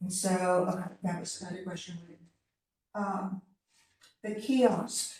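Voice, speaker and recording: Somewhat breathy, a woman at medium pitch speaks at a fairly slow pace with fairly even intonation, big swings in loudness, long, frequent pauses and audible room echo. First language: not English. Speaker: city advisory committee member. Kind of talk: public meeting discussion.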